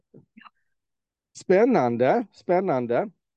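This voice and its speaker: The speaker is a man. His voice carries a dark, mellow tone. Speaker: podcast host. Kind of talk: interview. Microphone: faulty microphone, poor sound quality.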